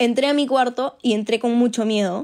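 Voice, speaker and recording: In a very clean recording with a silent background, a woman with an ordinary speaking voice talks at a moderate pace with fairly even intonation. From Peru. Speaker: industrial engineer, former exchange student. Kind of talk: personal storytelling.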